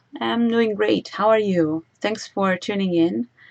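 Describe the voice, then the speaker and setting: At a moderate pace, a woman with an Italian accent speaks at a medium pitch with lively intonation. The sound is dry and close, with no echo. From Italy. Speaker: singer and YouTuber. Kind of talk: livestream Q&A. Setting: livestream. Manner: frequent fillers, hesitant.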